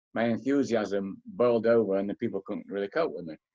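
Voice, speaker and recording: In a Manchester accent, a man speaks with fairly even intonation, the sound dry and close with no echo. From northern England, Manchester. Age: 70s. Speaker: author and philosopher. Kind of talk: interview.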